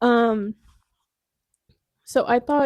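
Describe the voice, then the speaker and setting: Soft-spoken, a woman talks in a dark, mellow tone, with a dry, close sound and no echo. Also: very clean recording, silent background. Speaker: book vlogger. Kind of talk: casual chat. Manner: loud. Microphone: new clip-on microphone.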